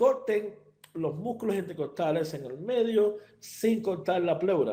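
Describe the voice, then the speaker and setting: A man with a high voice talks at a fairly slow pace, with audible room echo around him. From Cuba. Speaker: veterinary surgeon. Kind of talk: lecture. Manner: hesitant, many fillers and repetitions.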